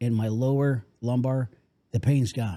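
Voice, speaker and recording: A man's dark, mellow voice at medium pitch. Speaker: podcast host. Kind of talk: sponsor ad read.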